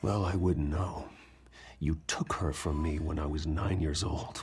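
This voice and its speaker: A man speaks fairly slowly in a put-on character voice with a very deep, low pitch. His intonation stays fairly even. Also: very even loudness. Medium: video game. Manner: terse, restrained.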